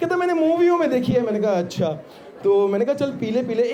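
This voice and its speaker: Noticeable background noise sits behind this recording. A man speaks at a moderate pace with lively intonation. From Delhi, India. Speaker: stand-up comedian. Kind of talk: live stand-up comedy set. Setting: live outdoor college fest stage. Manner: energetic, conversational.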